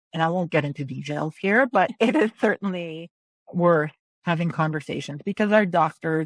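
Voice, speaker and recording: A woman with a normal speaking voice, fairly low in pitch, ordinary pitch variation, a moderate pace and a dry, close sound with no echo. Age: 50s. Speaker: realtor. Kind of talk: podcast interview answer.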